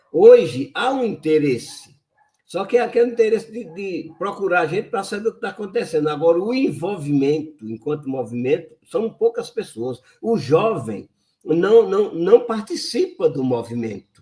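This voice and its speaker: A man talks at a moderate pace in a high voice with a dark, mellow tone. His pitch swings very widely, and his loudness shifts in big swings. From Brazil, sertão of Pernambuco. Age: 70s. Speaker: lawyer and environmental activist. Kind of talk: interview.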